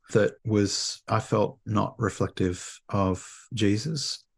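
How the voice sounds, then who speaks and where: In an Australian accent, a man with a fairly low, somewhat breathy voice speaks with ordinary pitch variation on a very clean recording with a silent background. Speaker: theology professor. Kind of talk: interview.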